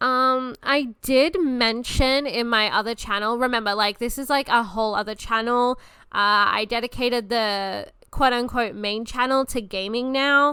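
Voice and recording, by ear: Fairly slow and fairly even in intonation, a woman speaks at a fairly high pitch in a bright, sharp, clear, smooth tone.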